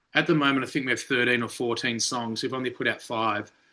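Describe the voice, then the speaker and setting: Against a quiet background, a man with an Australian accent talks at a fairly quick pace in a bright, sharp tone. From Australia, Melbourne. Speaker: rock band lead singer. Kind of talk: interview. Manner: animated.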